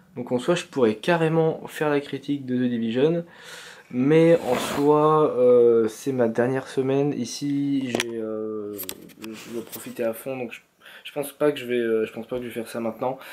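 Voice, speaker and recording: Against noticeable background noise, a man talks at a fairly slow pace and medium pitch, his intonation fairly even. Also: big swings in loudness. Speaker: vlogger. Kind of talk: casual vlog talk. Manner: halting, many fillers.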